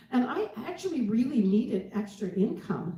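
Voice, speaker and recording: A woman's voice amid noticeable background noise. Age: 70s. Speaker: dietitian. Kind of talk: testimony. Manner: halting.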